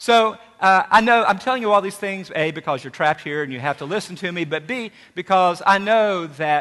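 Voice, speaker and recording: A man with an Appalachian accent speaks at a fairly quick pace in a high pitch, his tone bright and sharp. His intonation is lively, and the background is quiet. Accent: Appalachian southern. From Tri-Cities area, Virginia/Tennessee border (Appalachia). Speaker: university president. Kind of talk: welcome speech. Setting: stage with audience.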